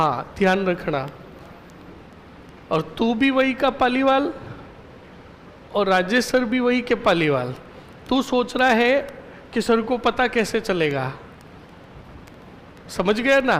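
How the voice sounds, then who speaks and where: Keeping very even loudness, a man speaks with lively intonation. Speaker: history teacher. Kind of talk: lecture. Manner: stern, scolding tone.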